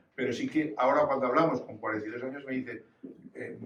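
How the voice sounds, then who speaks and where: The man's medium-pitched voice carries audible room echo, with noticeable background noise around it. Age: 70s. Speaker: audience member. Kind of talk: personal testimony. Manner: halting.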